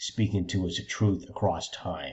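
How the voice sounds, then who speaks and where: Somewhat breathy, a man's fairly low voice keeps a fairly even intonation. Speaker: history lecturer. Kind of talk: lecture. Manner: halting, with frequent fillers.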